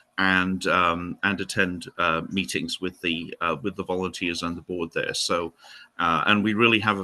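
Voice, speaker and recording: A man with a Welsh accent speaks at a moderate pace in a very deep, low voice with fairly even intonation, the sound dry and close with no echo on a very clean recording over a silent background. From Wales, Newport in Gwent. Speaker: historian and heritage centre director. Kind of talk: interview. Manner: hesitant, many fillers.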